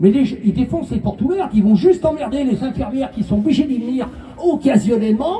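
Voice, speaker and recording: Moderate-paced speech set against noticeable background noise. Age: 70s. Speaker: motorcyclist protester. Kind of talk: street interview.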